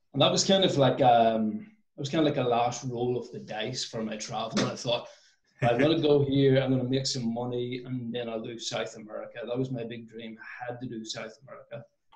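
A man speaks at a fairly quick pace, somewhat breathy. Audible room echo surrounds his voice. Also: ordinary pitch variation, big swings in loudness. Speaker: interview guest. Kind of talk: interview answer. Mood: relaxed, occasional laughs. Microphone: video call.

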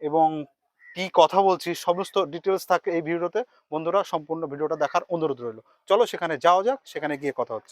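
A man speaks at a high pitch with ordinary pitch variation, the sound dry and close with no echo. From West Bengal, Murshidabad district. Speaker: travel vlogger. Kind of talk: vlog to camera. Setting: outdoors near railway station.

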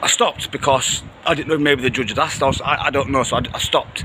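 The pace is fairly quick. Loud background noise runs underneath. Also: man. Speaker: vlogger reporting outside court. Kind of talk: casual vlog chat. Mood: indignant, animated. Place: street. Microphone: phone near.

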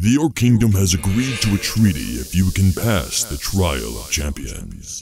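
His pitch is very deep and low. This man speaks at a moderate pace. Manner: solemn, haughty.

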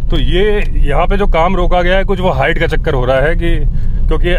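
Noticeable background noise around a man's dry voice, no echo at all. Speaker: travel vlogger. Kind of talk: casual vlog chat. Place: car. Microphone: phone near.

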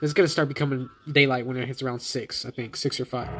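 A man talks at a very fast pace with fairly even intonation while faint music plays in the background. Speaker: mobile gamer. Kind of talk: casual gaming commentary. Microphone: phone near.

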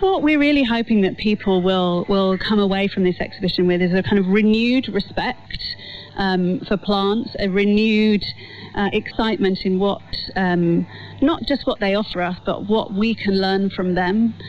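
A woman talks at a moderate pace with ordinary pitch variation and very even loudness. The sound is dry with no echo, over light background noise. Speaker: museum curator; guest. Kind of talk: interview. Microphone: old recording.

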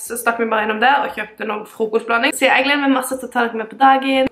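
There is audible room echo as a woman speaks very fast with fairly even intonation. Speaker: vlogger. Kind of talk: casual vlog chat. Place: home room. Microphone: phone near.

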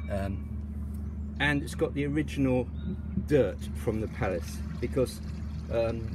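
At a fairly slow pace, the speech comes through dry with no echo, though noticeable background noise is present. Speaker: mock auctioneer. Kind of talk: comedic mock auction patter, ad-libbed. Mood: dry, joking humour. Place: garden. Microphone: phone near.

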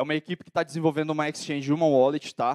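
Speaking at a very fast pace, a man is heard. The background is quiet. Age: 20s. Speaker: entrepreneur and conference speaker; conference speaker. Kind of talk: lecture. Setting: stage with audience. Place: hall. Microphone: handheld.

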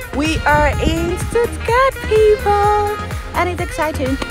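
Clear music plays in the background as a woman speaks at a very slow pace. Her voice sounds dry, with no echo. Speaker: travel vlogger. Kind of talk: casual vlog chat. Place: open country. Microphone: phone near.

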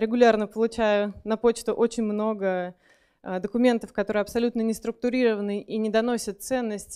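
Monotone, flat intonation marks this woman's speech over a quiet background. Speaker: conference speaker. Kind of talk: lecture. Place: hall. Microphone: handheld.

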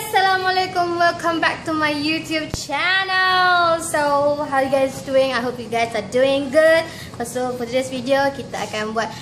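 A woman speaks at a high pitch with ordinary pitch variation. Music plays in the background. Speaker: home cooking vlogger. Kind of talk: casual vlog chat. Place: kitchen.

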